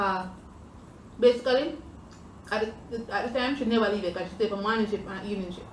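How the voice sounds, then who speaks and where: Very fast speech from a woman with a fairly high pitch and ordinary pitch variation, broken by long, frequent pauses over noticeable background noise. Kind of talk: casual storytime talk to camera while eating.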